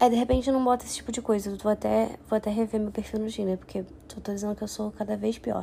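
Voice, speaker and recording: Very fast speech from a woman, fairly high in pitch, amid noticeable background noise. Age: 20s. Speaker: podcaster. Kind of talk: casual monologue. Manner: animated.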